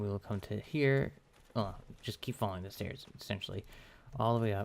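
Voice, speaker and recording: A quiet man's voice, fairly low-pitched with fairly even intonation, on a very clean recording with a silent background. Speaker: gaming let's play creator. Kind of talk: gameplay commentary. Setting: home recording at night. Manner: halting.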